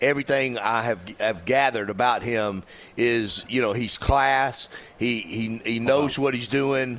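A man's plain, everyday voice, medium in pitch, with fairly even intonation at a fairly slow pace. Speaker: former college quarterback turned radio co-host. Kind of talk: casual sports talk.

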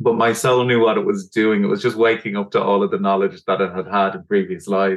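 Speaking with a Dublin accent, a man talks at a very fast pace with hardly any pauses. His medium-pitched voice has lively intonation. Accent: Dublin Irish. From Ireland, Dublin. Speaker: doctor and energy healer. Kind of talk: casual chat.

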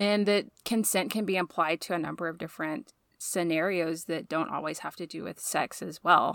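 In a normal speaking voice, a woman talks at a moderate pace with hardly any pauses, using a fairly low pitch and ordinary pitch variation. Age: 30s. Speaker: podcast host, women's center staff. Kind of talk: casual chat.

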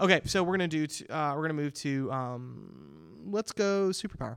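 A man's unremarkable speaking voice, fairly high in pitch with lively intonation, at a fairly quick pace in a very clean recording with a silent background. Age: 30s. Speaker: teacher hosting school podcast. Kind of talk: casual interview.

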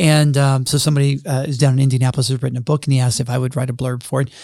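An American-accented man at a very fast clip, medium in pitch, somewhat breathy, with a dark, mellow tone and flat, monotone delivery. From US South, Jackson, Mississippi. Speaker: university president. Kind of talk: podcast interview.

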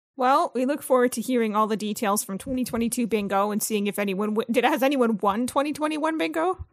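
A woman with a normal speaking voice, fairly high in pitch, with ordinary pitch variation and a moderate pace with hardly any pauses. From Ontario, Canada. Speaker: podcast co-host. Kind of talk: casual chat.

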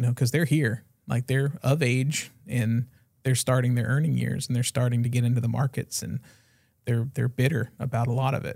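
Somewhat breathy, this voice carries an American accent and fairly even intonation. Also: man, medium pitch for a man, moderate pace. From Florida. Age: 40s. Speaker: podcast host. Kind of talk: casual chat.

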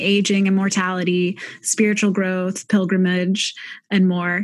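Her voice sounds somewhat breathy. The woman keeps a moderate speed. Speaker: podcast host. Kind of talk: interview conversation. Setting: video call.

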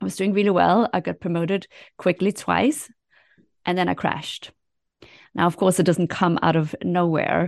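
A woman with a fairly low pitch and vocal fry speaks at a moderate pace, with ordinary pitch variation and long, frequent pauses. The sound is dry and close with no echo, over a quiet background. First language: not English. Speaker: career coach. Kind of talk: interview.

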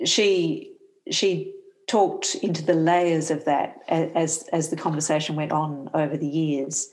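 With an Australian accent, a woman speaks with a fairly low pitch and fairly even intonation. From Western Australia (Perth). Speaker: theology professor. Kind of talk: interview.

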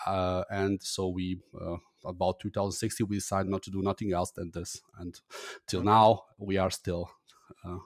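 With a German accent, a man speaks at a moderate pace and a very deep, low pitch in monotone, flat intonation, with big swings in loudness, long, frequent pauses and a dry, close sound with no echo. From Germany. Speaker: agency co-founder and podcaster. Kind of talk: casual interview conversation. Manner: halting, hesitant with fillers.

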